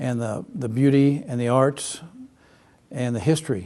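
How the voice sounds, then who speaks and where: The tone is dark and mellow, with fairly even intonation. The pace is moderate. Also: man. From Texas and Kansas. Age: 70s. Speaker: retired real estate agent and photographer. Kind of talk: oral history interview. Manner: halting, many fillers.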